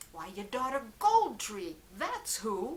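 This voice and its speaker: Putting on a character voice, a woman speaks at a very slow pace. Her pitch is fairly high. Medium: read story. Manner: blunt, deadpan.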